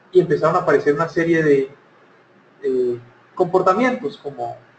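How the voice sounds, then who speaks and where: A man speaks with a Cali accent. Noticeable background noise runs under his voice. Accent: Cali Colombian. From Colombia, Cali. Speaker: speaker on workplace happiness. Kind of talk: conference talk.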